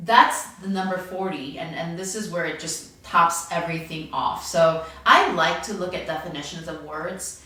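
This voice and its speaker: A woman with a non-native accent speaks at a fairly slow pace amid audible room echo and noticeable background noise. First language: not English. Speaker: pastor. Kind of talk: devotional message. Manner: halting.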